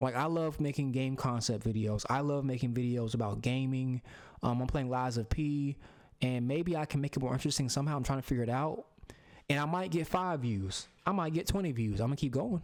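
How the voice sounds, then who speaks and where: A man with an American accent speaks at a fairly quick pace in a medium pitch. His loudness stays very even, and his pitch varies in an ordinary way. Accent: Southern, comes out with Southerners. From US South. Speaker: YouTuber, gaming content creator. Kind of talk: casual commentary monologue. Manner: casual, filler-heavy.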